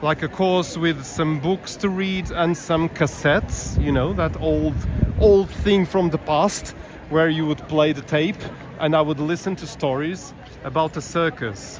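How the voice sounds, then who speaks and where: A man with a fairly high voice talks at a fairly slow pace and ordinary pitch variation over noticeable background noise. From Portugal. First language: Portuguese. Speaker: walking tour live streamer. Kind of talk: live-stream walking commentary. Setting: outdoors, walking city streets. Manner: chatty, with fillers and repetitions.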